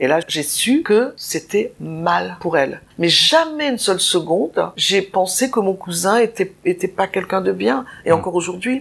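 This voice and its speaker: Fairly slow with hardly any pauses, a woman's medium-pitched voice carries vocal fry, very wide pitch swings and very even loudness. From Nice, southern France. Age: 70s. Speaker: interviewee sharing life story. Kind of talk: personal testimony. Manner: halting, repetitive.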